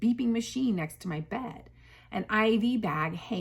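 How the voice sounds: Lively intonation running through a natural reading voice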